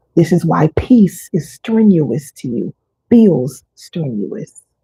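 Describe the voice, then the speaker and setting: Very slowly, a woman speaks in a somewhat breathy, dark, mellow tone at a fairly low pitch with very wide pitch swings. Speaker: wellness coach. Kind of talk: live teaching session. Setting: livestream. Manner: deliberate pauses.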